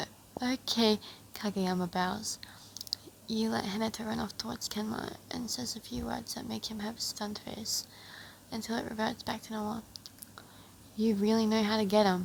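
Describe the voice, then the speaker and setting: A woman with a fairly high pitch and fairly even intonation talks at a moderate pace over noticeable background noise. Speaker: fanfic reader. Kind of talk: reading aloud; casual chat.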